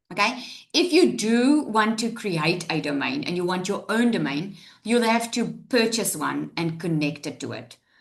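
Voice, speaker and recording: A woman's medium-pitched voice with vocal fry and very wide pitch swings. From South Africa. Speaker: online business coach. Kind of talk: live tutorial webinar. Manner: fast; animated.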